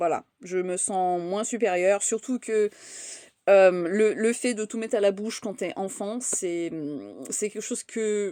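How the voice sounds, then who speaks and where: A woman with a fairly high voice speaks at a moderate pace with fairly even intonation. The recording is very clean, with a silent background. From France, raised by English parents. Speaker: content creator. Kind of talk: casual vlog monologue. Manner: hesitant, many fillers and repetitions.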